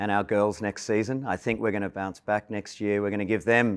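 A man talks at a fairly quick pace with monotone, flat intonation. The recording is very clean with a silent background. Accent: Australian. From Australia (Melbourne). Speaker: sports club chair. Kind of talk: interview.

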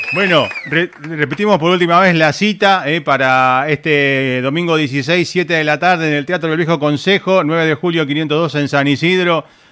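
With a Rioplatense accent, a man speaks fairly slowly and with hardly any pauses in a fairly high pitch, his intonation fairly even against noticeable background noise. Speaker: radio and web show host. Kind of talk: casual interview. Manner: hesitant, many fillers.

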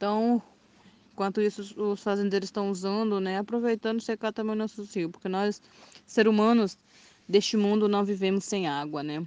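A woman with an unremarkable speaking voice talks at a medium pitch and moderate pace with fairly even intonation. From Mato Grosso do Sul, Brazil. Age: 20s. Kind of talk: testimony. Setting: WhatsApp voice messages.

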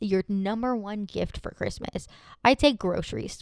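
Her sound is dry and close with no echo, at a medium pitch. The woman uses an animated tone at a fairly slow pace. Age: 30s. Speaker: solo podcast host. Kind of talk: casual chat. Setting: home desk recording.

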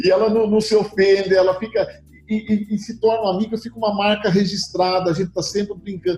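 Over noticeable background noise, a man talks very fast in a high pitch with monotone, flat intonation. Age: 60s. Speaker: insurance broker, company founder. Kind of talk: interview. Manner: halting, repeats words.

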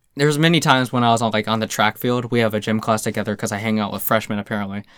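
A man has a normal speaking voice at a medium pitch. His intonation stays fairly even in a very clean recording with a silent background. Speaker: podcast host. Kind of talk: casual chat.

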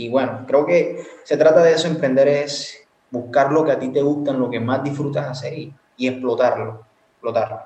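Audible room echo surrounds a man talking at a moderate pace, fairly high in pitch, with fairly even intonation. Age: 20s. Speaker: university student and entrepreneur. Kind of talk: casual chat.

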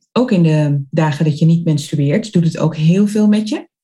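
Somewhat breathy and dark, mellow in tone, a woman talks at a fairly slow pace with a fairly low pitch and ordinary pitch variation. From Netherlands, Zwolle (Overijssel). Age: 40s. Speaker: entrepreneur and college coach. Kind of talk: casual interview.

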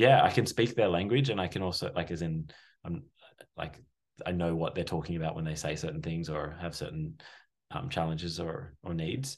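Against a quiet background, a man with a very deep, low pitch speaks fairly quickly with lively intonation. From Sydney, Australia. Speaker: breathwork facilitator. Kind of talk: casual chat.

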